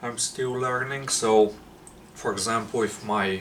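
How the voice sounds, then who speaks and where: Man with a non-native accent, medium in pitch, monotone and flat, at a fairly slow pace, with audible room echo. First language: not English. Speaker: fitness vlogger. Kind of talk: casual vlog monologue. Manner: halting, searching for words.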